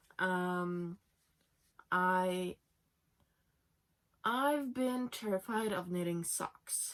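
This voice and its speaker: A woman with a Norwegian accent talks at medium pitch with ordinary pitch variation. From Norway. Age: 20s. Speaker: knitting podcaster. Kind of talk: casual podcast chat. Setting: home, sitting in bed.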